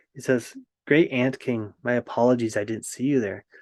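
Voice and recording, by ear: A quiet background sits behind a voice reading aloud naturally, its intonation fairly even.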